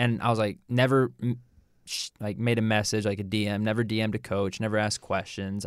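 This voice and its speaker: In a very clean recording with a silent background, a man speaks in a normal speaking voice at a fairly low pitch. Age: 20s. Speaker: strength and conditioning coach. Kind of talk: casual chat.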